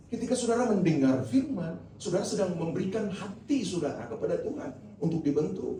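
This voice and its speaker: A man moves at a fairly quick pace, with audible room echo and noticeable background noise around his voice. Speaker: pastor. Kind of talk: sermon. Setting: church.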